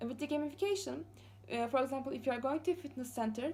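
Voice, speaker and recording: A dark, mellow tone with lively intonation and a Turkish accent. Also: woman. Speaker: master's student. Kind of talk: class presentation. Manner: fast; halting, many fillers.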